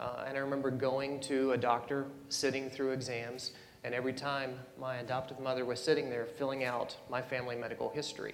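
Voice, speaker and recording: A man's medium-pitched, monotone, flat voice at a fairly quick pace, with audible room echo and noticeable background noise. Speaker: panelist, adoptee and birth parent. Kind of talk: panel discussion. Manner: soft-spoken.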